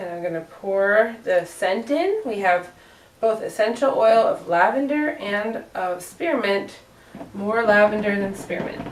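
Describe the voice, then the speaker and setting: A woman with a Northeastern US accent speaks with ordinary pitch variation over noticeable background noise. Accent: generic Northeast US. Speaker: soap maker, small business owner. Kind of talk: tutorial. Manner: casual, hesitant with fillers.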